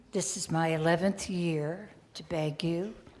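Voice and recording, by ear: Fairly even intonation from a woman with a fairly low pitch, slightly mellow tone, and slow pace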